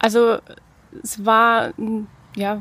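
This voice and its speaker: Noticeable background noise behind a woman's fairly high voice. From Lower Franconia, Bavaria (Bad Kissingen). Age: 30s. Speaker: former nurse and teacher, pet cremation business owner. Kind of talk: casual interview.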